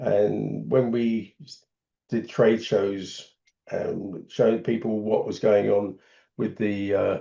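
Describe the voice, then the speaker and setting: A man speaks with an English accent. His pace is very slow. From England. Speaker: solar business founder. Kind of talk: podcast interview.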